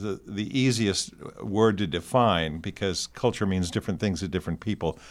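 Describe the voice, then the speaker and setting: A man with a plain, everyday voice, fairly low in pitch with ordinary pitch variation, on a very clean recording with a silent background. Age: 60s. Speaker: university LGBTQ center director. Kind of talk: interview. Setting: studio.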